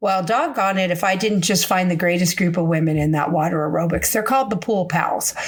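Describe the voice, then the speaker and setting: A woman of fairly low pitch with ordinary pitch variation, very even loudness and hardly any pauses, over noticeable background noise. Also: fairly quick pace. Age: 60s. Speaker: podcast host. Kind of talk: casual podcast monologue. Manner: animated.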